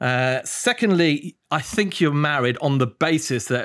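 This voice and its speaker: The recording is very clean with a silent background as a man with a British accent speaks with ordinary pitch variation. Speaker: fund selector and guest interviewer. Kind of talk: casual interview.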